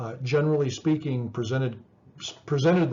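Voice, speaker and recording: Speech rushes by at a very fast pace. The delivery is fairly even in intonation, with audible echo from the room. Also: man. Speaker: psychology professor. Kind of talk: lecture. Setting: recorded video lecture with slides. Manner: halting, many repetitions and fillers.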